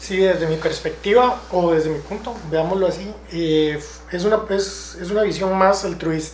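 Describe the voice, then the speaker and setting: Over noticeable background noise and audible room echo, a man speaks at a fairly slow pace. His voice is high-pitched, with fairly even intonation. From Costa Rica, Santa Ana. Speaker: council candidate. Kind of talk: political interview.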